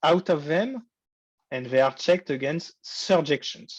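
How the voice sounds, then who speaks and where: Speaking in a plain, everyday voice at a moderate pace, a man shows ordinary pitch variation in a dry, close sound with no echo and a quiet background. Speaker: university lecturer. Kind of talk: lecture. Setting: online lecture.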